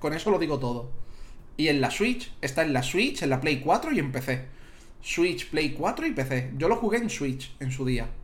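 In a room with audible echo, a man speaks at a fairly slow pace in an animated tone, his somewhat breathy voice pitched fairly high. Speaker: video game streamer and podcaster. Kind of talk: casual chat. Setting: live stream. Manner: animated, laughing.

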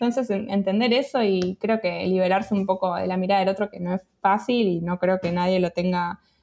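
In a normal speaking voice, a woman talks at a fairly quick pace with medium pitch and fairly even intonation. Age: 30s. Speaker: freelance creative, community founder. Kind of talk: interview. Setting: remote call.

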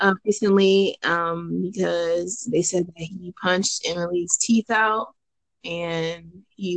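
This woman has an ordinary speaking voice, pitched in the medium range, and her intonation stays fairly even. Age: 20s. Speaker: podcast host. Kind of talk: casual chat.

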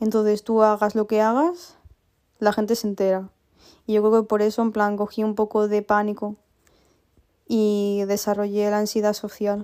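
A woman speaks at a moderate pace with long, frequent pauses, her fairly high voice dark and mellow in tone yet flat and monotone in intonation. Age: 20s. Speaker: podcaster, university student. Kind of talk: casual personal monologue. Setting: at home. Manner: chatty, filler-heavy.

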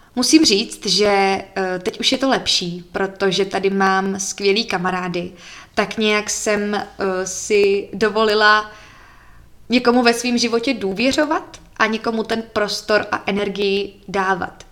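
A woman talks very slowly, her medium pitch carrying fairly even intonation. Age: 20s. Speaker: podcaster. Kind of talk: casual personal monologue.

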